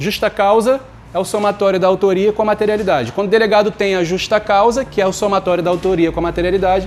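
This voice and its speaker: The delivery runs at a very fast pace. Intonation stays fairly even. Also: man. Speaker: law teacher for exam prep. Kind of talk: online lecture. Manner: informal, conversational.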